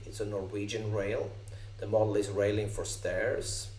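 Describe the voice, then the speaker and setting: Someone with a Swedish accent speaks in a flat monotone at a moderate pace, with noticeable background noise and audible room echo. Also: man. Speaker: software company co-founder. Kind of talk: software demo tutorial. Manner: halting, many fillers.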